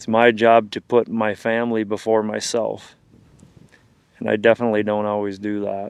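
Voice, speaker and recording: This man talks at a moderate pace in a fairly low, monotone voice with flat intonation. His loudness swings widely against a quiet background. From Wisconsin, US Upper Midwest. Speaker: hunting guide and outdoor filmmaker. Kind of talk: reflective monologue to camera; casual chat.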